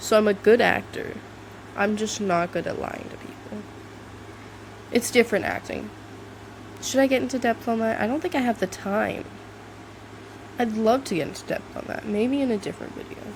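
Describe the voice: Speaking at a moderate pace with long, frequent pauses, a woman uses a fairly high pitch, ordinary pitch variation and vocal fry.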